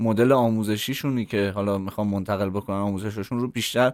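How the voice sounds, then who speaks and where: Over a very clean recording with a silent background, the speaker moves at a fairly quick pace in a monotone, flat delivery. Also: man. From Iran, Tehran. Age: 30s. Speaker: content strategist. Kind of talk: interview.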